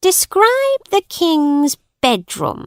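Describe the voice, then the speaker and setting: A woman's put-on character voice, squeaky and extremely high-pitched, with very wide pitch swings. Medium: read story. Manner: formal, authoritative.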